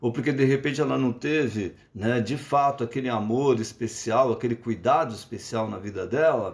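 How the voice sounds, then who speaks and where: With hardly any pauses, a man speaks at a moderate pace and medium pitch, using ordinary pitch variation. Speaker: psychologist. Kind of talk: lecture. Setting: live stream. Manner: halting.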